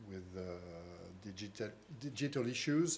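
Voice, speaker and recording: This man has a fairly low pitch and a French accent. Audible room echo surrounds his voice. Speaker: think tank director. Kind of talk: conference talk. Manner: halting, repeats words.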